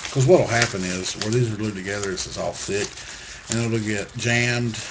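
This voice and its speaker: Amid noticeable background noise and audible room echo, a man speaks at a fairly low pitch with fairly even intonation. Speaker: crafts tutorial maker. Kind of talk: tutorial.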